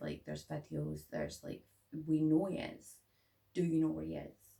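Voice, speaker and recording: A woman speaks at a moderate pace with a Scottish accent. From Scotland. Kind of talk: casual talk to camera. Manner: tired.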